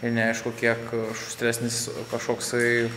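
Noticeable background noise runs under a man's moderate-paced speech. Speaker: travel vlogger. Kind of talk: casual vlog chat. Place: garage. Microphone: lapel.

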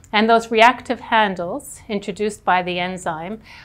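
Ordinary pitch variation marks this woman's voice. She keeps a moderate pace. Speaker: professor researcher. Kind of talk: interview answer. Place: hall. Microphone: lapel.

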